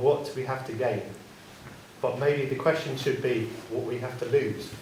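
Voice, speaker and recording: A man talks quietly at a moderate pace and medium pitch with fairly even intonation, audible room echo and noticeable background noise. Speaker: local resident and petition signer. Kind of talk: public meeting question. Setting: town council public meeting. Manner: quiet, trying to project. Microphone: too quiet, told to get closer to mic.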